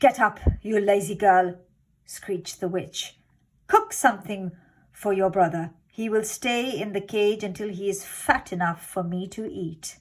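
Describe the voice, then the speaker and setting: In a shrill put-on character voice, a woman speaks at medium pitch and a moderate pace. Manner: cruel, bossy, cackling.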